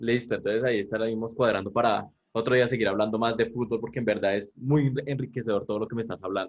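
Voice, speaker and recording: Talking at a very fast pace with hardly any pauses, a man with a Colombian accent keeps a monotone, flat intonation. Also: medium pitch for a man. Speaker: communication student interviewer. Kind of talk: interview.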